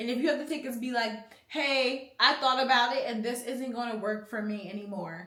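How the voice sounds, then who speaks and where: In a strong Philadelphia accent, a woman speaks at a moderate pace with a fairly high pitch and ordinary pitch variation. Her tone is animated, and the room echo is audible. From US, Philadelphia. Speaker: youtuber giving life advice. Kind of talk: casual advice Q&A.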